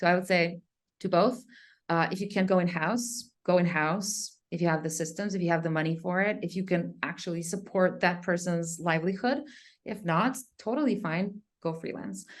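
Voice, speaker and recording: A woman with a non-native accent, fairly low in pitch, with ordinary pitch variation, a moderate pace and a quiet background. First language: not English. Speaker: content marketing company co-founder. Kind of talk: interview. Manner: casual, many filler words.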